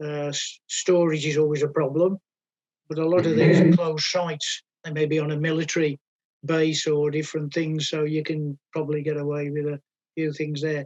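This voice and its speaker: A man with a fairly high pitch talks at a moderate pace in a monotone, flat intonation. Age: 70s. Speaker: explosives consultant. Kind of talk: Q&A at a technical talk.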